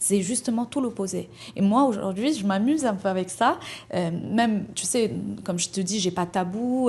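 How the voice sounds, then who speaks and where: A woman speaks fairly slowly in a somewhat breathy voice with lively intonation, over a quiet background. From Morocco. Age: 30s. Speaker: entrepreneur. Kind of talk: podcast interview.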